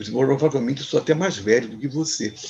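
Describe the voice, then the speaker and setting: Against noticeable background noise, a man talks at a very fast pace with very wide pitch swings. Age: 60s. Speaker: musician. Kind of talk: interview. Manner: halting.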